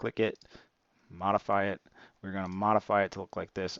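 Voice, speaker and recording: This man talks at a very fast pace. His pitch is fairly low. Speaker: stock trading youtuber. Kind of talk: screen-share tutorial. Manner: casual, with many fillers.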